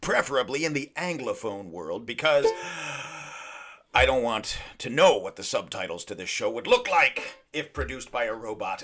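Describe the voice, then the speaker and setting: A man speaks in a playful, upbeat tone, with long, frequent pauses and big swings in loudness. Noticeable background noise is present. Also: moderate pace. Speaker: podcast host. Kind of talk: comedic podcast monologue to camera.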